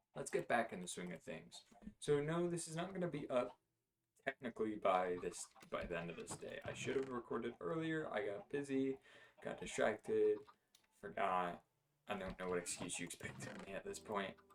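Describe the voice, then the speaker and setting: Relaxed in tone, a man with a medium pitch speaks at a moderate pace with very wide pitch swings. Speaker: gaming video creator. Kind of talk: casual gameplay commentary. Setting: home recording at night. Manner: relaxed, laid-back; hesitant, many fillers.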